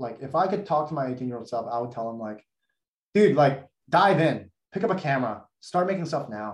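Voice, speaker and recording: A man with an ordinary speaking voice talks at a fairly high pitch and a fairly quick pace. His intonation is lively, with big swings in loudness. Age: 20s. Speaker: former investment banker and content creator. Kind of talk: casual interview chat.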